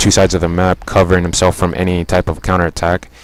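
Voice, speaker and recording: The speaker races along at a very fast pace over noticeable background noise. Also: man. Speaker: video game commentator. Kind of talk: replay commentary.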